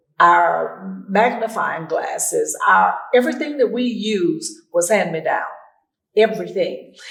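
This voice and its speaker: With audible room echo, a woman talks at a fairly slow pace in an Arkansas accent. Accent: Southern US (Arkansas). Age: 80s. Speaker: school alumni association member. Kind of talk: interview.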